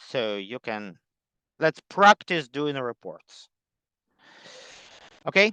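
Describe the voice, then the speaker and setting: A man with a non-native accent speaks at a very slow pace, leaving long, frequent pauses. His fairly high voice has a bright, sharp tone and very wide pitch swings, and the sound is dry and close with no echo. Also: quiet background. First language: not English. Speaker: workshop teacher. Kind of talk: online class meeting. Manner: halting, many fillers.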